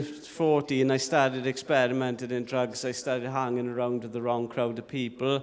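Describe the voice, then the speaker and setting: Here a man speaks with a South Welsh accent at a medium pitch. Noticeable background noise can be heard. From South Wales (Llanelli). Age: 40s. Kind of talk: testimony.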